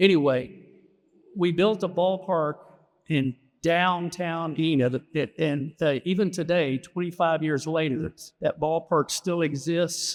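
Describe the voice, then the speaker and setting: A man with a high pitch and an American accent, fairly even intonation and a fairly slow pace. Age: 70s. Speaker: city official. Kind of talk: acceptance speech. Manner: halting, many fillers and repeats.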